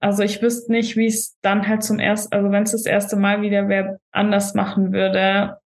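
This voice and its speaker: Somewhat breathy and in a flat monotone, a woman with a medium pitch talks at a moderate pace. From Germany, Stuttgart. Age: 20s. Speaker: bodybuilding stage athlete. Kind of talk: casual podcast interview.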